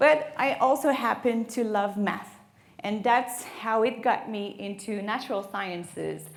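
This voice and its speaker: With a French Canadian accent, a woman speaks in a fairly high voice, and audible room echo surrounds her. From Quebec, Canada. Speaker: marine biologist. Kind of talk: lecture.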